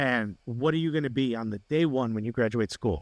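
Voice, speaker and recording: A man at medium pitch with lively intonation, a quiet background, and a dry, close sound with no echo. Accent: New Jersey. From New Jersey (Newark), US. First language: Spanish. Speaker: comedian and sports TV host. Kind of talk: interview. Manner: animated.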